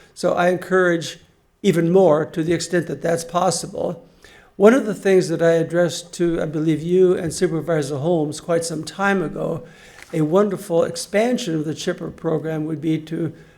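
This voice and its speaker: Audible room echo surrounds a man who speaks at a moderate pace with high pitch and fairly even intonation. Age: 80s+. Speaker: resident commenting at public meeting. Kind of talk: public comment at town hall.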